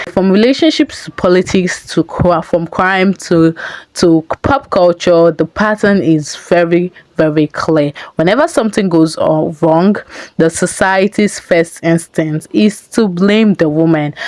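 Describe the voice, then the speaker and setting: With noticeable background noise but a dry, close sound lacking echo, a woman speaks at a fairly slow pace, her pitch fairly low with ordinary variation and her loudness very even. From Nigeria. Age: 20s. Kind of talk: video essay commentary to camera.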